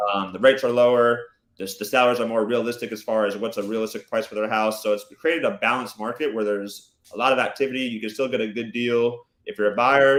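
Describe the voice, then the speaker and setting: Very fast and with fairly even intonation, a man talks at medium pitch. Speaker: real estate agent. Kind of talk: interview answer. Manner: soft-spoken.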